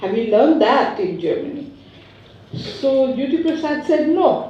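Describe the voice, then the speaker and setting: A woman with a high pitch and lively intonation speaks fairly slowly, with audible room echo and noticeable background noise. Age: 80s+. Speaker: invited speaker, university mentor. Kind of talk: conference speech.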